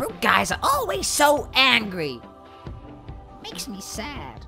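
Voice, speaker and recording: Over clear background music, a man does a put-on character voice at a fairly slow pace. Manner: panicky, whiny.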